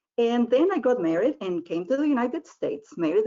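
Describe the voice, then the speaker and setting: A woman with a Spanish accent speaks in a high voice, her pitch swinging very widely. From Argentina. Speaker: language professor, presenter. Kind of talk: webinar presentation. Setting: online webinar.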